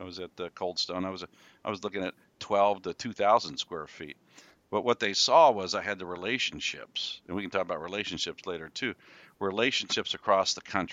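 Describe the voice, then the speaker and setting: A man's plain, everyday voice, fairly low in pitch with ordinary pitch variation, at a fairly quick pace with big swings in loudness. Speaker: retail real estate developer. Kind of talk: casual interview chat.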